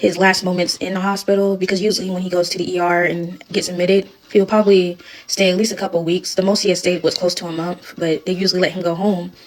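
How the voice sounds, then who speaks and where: A woman's medium-pitched, monotone, flat delivery at a fairly quick pace over noticeable background noise. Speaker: widow sharing her story. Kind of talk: personal testimony vlog.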